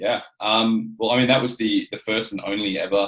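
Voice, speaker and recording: A man speaks with an Australian accent at a fairly slow pace. His pitch is fairly low. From Adelaide, South Australia. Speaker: professional wrestler. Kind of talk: podcast interview.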